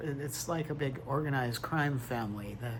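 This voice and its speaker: Noticeable background noise and audible room echo surround a man whose voice sits fairly high. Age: 60s. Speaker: tarot reader vlogger. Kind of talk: personal testimony monologue. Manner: quiet, struggling to project.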